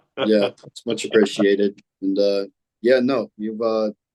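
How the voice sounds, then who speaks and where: A man's voice at a medium pitch carries intonation that stays fairly even. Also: dry, close sound with no echo. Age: 20s. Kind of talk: debate discussion.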